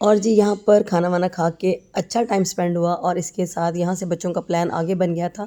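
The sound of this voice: Speaking at a fairly quick pace, a woman has a dark, mellow tone. Her pitch is fairly low, with little pitch movement.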